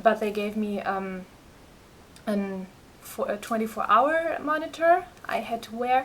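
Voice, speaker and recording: A woman with a German accent speaks at a fairly high pitch with ordinary pitch variation. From Germany. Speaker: patient sharing health experience. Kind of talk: personal vlog testimony. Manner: halting, many fillers.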